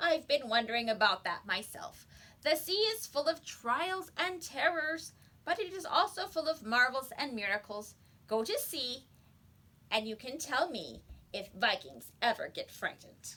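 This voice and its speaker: A woman puts on a wheezy character voice at a high pitch. Her pitch swings very widely as she moves at a moderate pace. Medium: read story. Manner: gentle, thoughtful.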